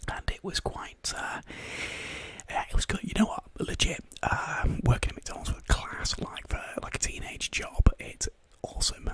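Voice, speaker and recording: At a moderate pace, a man whispers, his loudness swinging widely. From northern England, Carlisle, Cumbria; northern England. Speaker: ASMR live streamer. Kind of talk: whispered casual live-stream chat. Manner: whispering. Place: home room. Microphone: studio mic.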